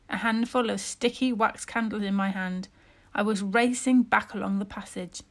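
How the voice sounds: The speaker uses a natural reading voice whose pitch moves in an ordinary way.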